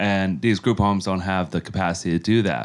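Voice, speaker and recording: A man with an American accent and a normal speaking voice talks at fairly low pitch with fairly even intonation, in a very clean recording with a silent background. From New York (Yonkers). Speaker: charity leader. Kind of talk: interview.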